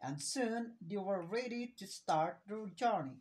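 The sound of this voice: What you hear is an unforced reading voice.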